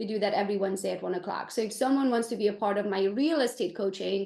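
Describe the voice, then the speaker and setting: Speaking very fast, a woman uses a medium pitch with ordinary pitch variation and a dark, mellow tone. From Transylvania, Romania (Hungarian). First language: Hungarian. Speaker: real estate agent and coach. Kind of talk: podcast interview.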